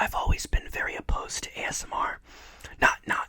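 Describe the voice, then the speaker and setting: A man whispering at a fairly quick clip amid noticeable background noise. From Ohio, USA. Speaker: ASMR creator. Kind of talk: casual talk to camera.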